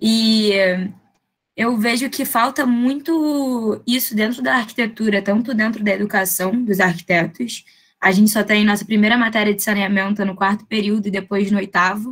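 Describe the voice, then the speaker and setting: Against a quiet background, a woman with a fairly high, somewhat breathy voice speaks at a moderate pace with ordinary pitch variation. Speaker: architecture student, junior architect. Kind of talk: audience question in online lecture. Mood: friendly, enthusiastic. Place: home room. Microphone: webcam.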